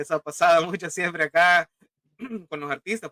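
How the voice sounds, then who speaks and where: A man's fairly high, bright, sharp voice at a fairly quick pace, with ordinary pitch variation and a dry, close sound with no echo. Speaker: science fiction writer. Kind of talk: casual chat.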